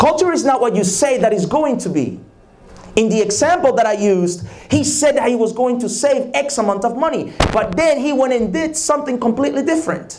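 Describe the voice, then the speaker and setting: This man talks at a fairly quick pace with a Spanish accent and lively intonation. His pitch is extremely high, and audible room echo surrounds him. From Dominican Republic. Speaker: leadership conference speaker. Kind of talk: leadership talk. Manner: repetitive, emphatic.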